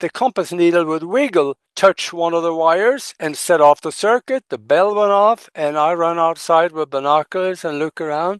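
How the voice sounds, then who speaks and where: Over a quiet background, a man with a high pitch and ordinary pitch variation keeps a moderate pace with hardly any pauses, the sound dry and close with no echo. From Norway. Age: 80s+. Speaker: ufo researcher. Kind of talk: podcast interview.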